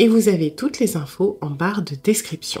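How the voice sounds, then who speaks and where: Her tone is dark and mellow, somewhat breathy, with lively intonation. The woman speaks at a moderate pace. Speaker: tarot reader. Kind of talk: interactive tarot reading. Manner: halting, many hesitations.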